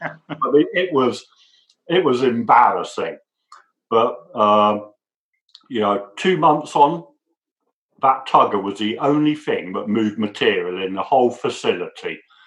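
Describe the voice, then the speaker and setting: With an English accent and lively intonation, a man speaks at a fairly slow pace. He leaves long, frequent pauses. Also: medium pitch for a man. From England. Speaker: lean manufacturing manager. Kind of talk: interview answer.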